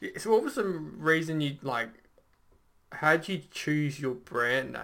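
An ordinary speaking voice, fairly slow in tempo and ordinary in pitch movement. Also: man, fairly high pitch for a man. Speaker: podcast host. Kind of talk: casual interview chat.

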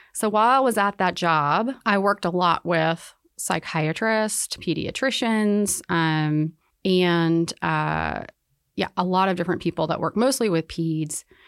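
A woman with an American accent and a normal speaking voice, fairly low in pitch, with ordinary pitch variation, very even loudness, and a fairly slow pace, in a dry, close sound with no echo and a very clean recording over a silent background. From North Carolina (Winston-Salem). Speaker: physician and medical professor. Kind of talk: interview.

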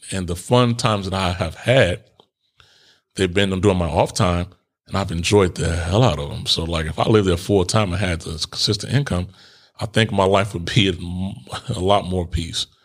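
With an American accent, a man speaks at a moderate pace in a very deep, low pitch, relaxed in tone and with ordinary pitch variation. He takes long, frequent pauses, and the recording is very clean with a silent background. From US Midwest, Chicago. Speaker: podcast host. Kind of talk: casual solo monologue. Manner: relaxed, conversational.

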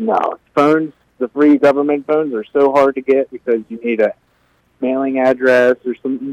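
An ordinary speaking voice with an American accent, talking at a moderate pace with fairly even intonation. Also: man, fairly high pitch for a man, dry, close sound with no echo. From Virginia. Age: 20s. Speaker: homeless man. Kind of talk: radio interview. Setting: phone call.

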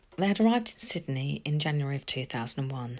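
Very deep and low in pitch, a woman speaks with a serious tone and lively intonation at a fairly quick pace. The recording is very clean with a silent background. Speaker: podcast narrator. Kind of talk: true-crime narration. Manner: even, measured storytelling pace; sombre, serious, factual.

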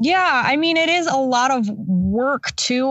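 Here a woman is speaking. Her pitch swings very widely. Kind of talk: casual chat. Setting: remote call during quarantine. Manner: introverted, relaxed.

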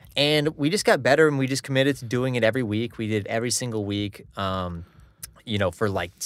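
A man speaks fairly quickly while noticeable noise carries on in the background. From US Northeast, Connecticut (born Long Island). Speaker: hockey player and music video singer. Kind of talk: casual chat.

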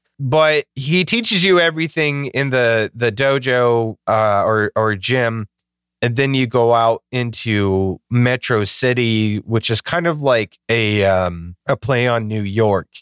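A man speaks at medium pitch and a very slow pace with very even loudness, in a very clean, dry, close recording with no echo and a silent background. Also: ordinary pitch variation. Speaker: podcast host. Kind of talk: casual chat. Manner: joking.

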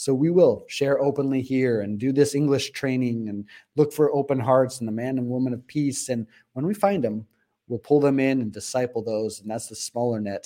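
A man with an American accent at a medium pitch and fairly quick pace, with ordinary pitch variation. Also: quiet background. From Arizona, US. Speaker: missionary and author. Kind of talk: interview. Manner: animated.

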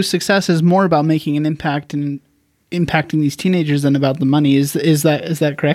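Over a very clean recording with a silent background, a man with an unremarkable speaking voice and fairly high pitch talks at a fairly quick pace. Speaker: podcast host. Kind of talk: casual interview chat.

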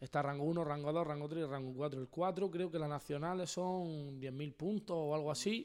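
A man with an ordinary speaking voice talks at a moderate pace with hardly any pauses. His pitch is fairly high and his intonation fairly even. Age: 20s. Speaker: freestyle rapper. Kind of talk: casual chat.

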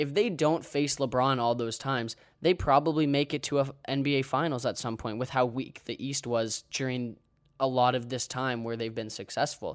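A man talks at a medium pitch with fairly even intonation in an unremarkable speaking voice. The recording is very clean, with a silent background. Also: moderate pace. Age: 20s. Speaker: sports podcast host. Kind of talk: solo podcast monologue. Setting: recording while traveling.

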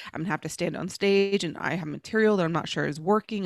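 A woman's voice with an American accent and ordinary pitch variation, on a very clean recording with a silent background and a dry, close sound with no echo. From Dallas, Texas (Oak Cliff). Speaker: comedian and actress. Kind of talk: casual chat.

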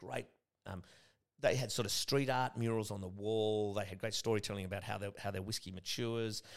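The speaker has an Australian accent and talks at a moderate pace with fairly even intonation. The recording is very clean, with a silent background. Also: man. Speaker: gin distillery co-founder. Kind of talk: casual chat.

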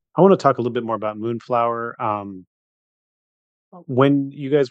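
A man speaks in an unremarkable speaking voice with ordinary pitch variation against a quiet background. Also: dry, close sound with no echo. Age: 40s. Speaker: podcast host. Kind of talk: casual chat.

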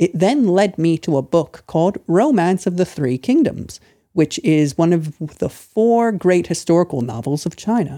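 A moderate pace in an American accent. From United States. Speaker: English teacher and Chinese history scholar. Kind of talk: casual interview. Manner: formal.

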